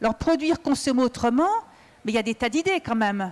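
A woman speaks with a high pitch. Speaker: engineer and trade unionist. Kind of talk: panel debate. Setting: stage with audience at a festival. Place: stage. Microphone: handheld.

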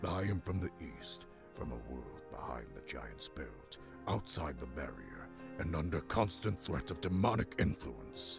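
A man puts on a character voice and keeps a moderate pace while clear music plays in the background. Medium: game stream.

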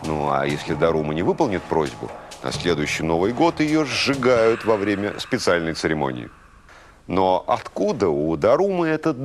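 Pitched fairly low, this man's voice swings very widely in pitch as he talks at a moderate pace. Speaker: TV presenter. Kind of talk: educational TV narration. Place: studio. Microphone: lapel.

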